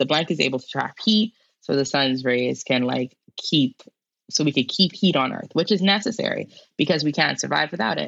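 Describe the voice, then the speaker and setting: A woman speaks at a fairly quick pace in a very deep, low pitch with vocal fry. Her intonation is lively. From Bahamas, Nassau. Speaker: climate scientist and educator. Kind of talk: interview conversation.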